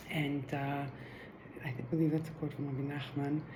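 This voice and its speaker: With audible room echo around her, a woman speaks at a moderate pace in a very deep, low pitch, her tone dark, mellow and somewhat breathy. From Israel. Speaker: Torah teacher. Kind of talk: video introduction. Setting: live recording.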